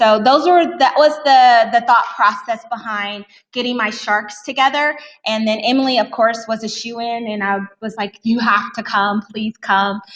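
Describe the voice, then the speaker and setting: Using a normal speaking voice, a woman with an American accent talks at a moderate pace and fairly high pitch, with ordinary pitch variation. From Texas. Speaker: teacher presenter. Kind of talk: conference presentation. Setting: conference room with audience.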